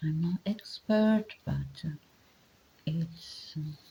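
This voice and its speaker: With a non-native accent, a woman speaks in a somewhat breathy, dark, mellow tone with ordinary pitch variation. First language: not English. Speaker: commentator on body language. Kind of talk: commentary monologue. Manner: halting, many fillers; reading from notes.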